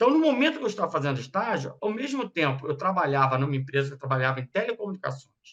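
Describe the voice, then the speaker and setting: Speaking very fast, a man with a high voice swings his pitch very widely. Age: 60s. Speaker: radiology business owner, speaker to students. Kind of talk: informal talk to students.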